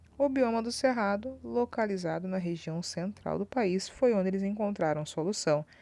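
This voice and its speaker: A woman's medium-pitched voice with very wide pitch swings at a moderate pace. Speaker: school teacher. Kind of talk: recorded online lesson.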